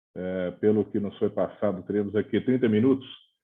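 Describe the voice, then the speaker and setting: Ordinary pitch variation and a moderate pace, with a Brazilian accent. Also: man. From Brazil, Minas Gerais. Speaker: fire brigade officer. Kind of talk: presentation.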